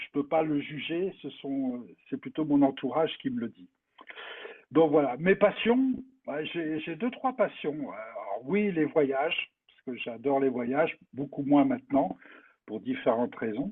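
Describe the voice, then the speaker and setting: Pitch swinging very widely, a man talks at a very slow pace. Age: 70s. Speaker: retired business consultant and association president. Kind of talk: interview, personal life story. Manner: hesitant, many fillers.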